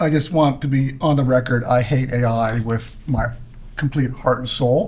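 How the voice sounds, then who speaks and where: At a moderate pace, a man with an unremarkable speaking voice holds a medium pitch and fairly even intonation. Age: 60s. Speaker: podcast host. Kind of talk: casual chat.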